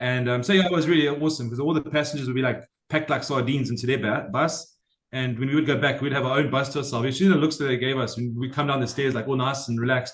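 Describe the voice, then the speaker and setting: Very fast, somewhat breathy delivery. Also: man, medium pitch for a man, fairly even intonation. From South Africa. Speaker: former cruise ship photographer. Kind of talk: casual chat. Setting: podcast interview.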